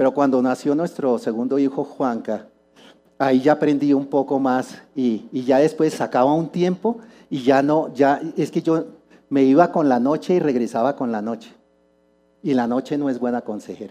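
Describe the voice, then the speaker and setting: A man speaks at a fairly high pitch in a dark, mellow tone. His pace is moderate, his pitch variation ordinary, and the background quiet. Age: 60s. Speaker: church speaker. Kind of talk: sermon.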